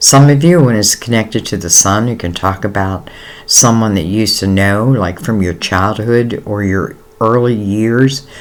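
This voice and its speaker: A man's fairly low voice, with ordinary rises and falls in pitch, moves at a moderate pace while noticeable noise sounds in the background. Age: 60s. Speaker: tarot reader. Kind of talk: tarot reading. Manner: casual, hesitant with fillers.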